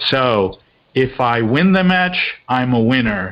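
This man has a normal speaking voice at a medium pitch, talking at a fairly slow pace. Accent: American. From mixed: India, Australia, England, US. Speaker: leadership and team performance consultant. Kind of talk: podcast interview.

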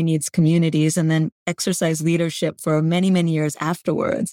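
A woman with a Canadian accent speaks at a fairly low pitch in a dark, mellow tone, with a dry, close sound with no echo and a very clean recording, silent background. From Canada. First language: Gujarati. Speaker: author and leadership program head. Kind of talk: interview conversation.

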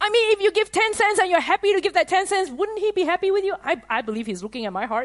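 A woman talks at a very fast pace with hardly any pauses, her pitch extremely high and swinging very widely. Noticeable background noise runs underneath. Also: dry, close sound with no echo. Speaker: preacher / conference teacher. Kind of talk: sermon / teaching to a live audience. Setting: conference with audience.

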